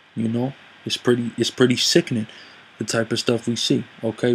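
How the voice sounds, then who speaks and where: A man's monotone, flat voice at a medium pitch, with noticeable background noise. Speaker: online commentator. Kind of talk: monologue commentary with scripture reading.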